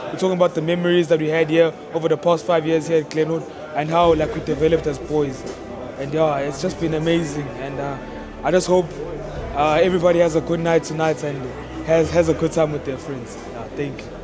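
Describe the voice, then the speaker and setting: A man's fairly high, flat, monotone voice at a fairly quick pace, with audible room echo and music in the background. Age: young. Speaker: university student. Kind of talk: casual interview statement. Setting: school reunion dinner.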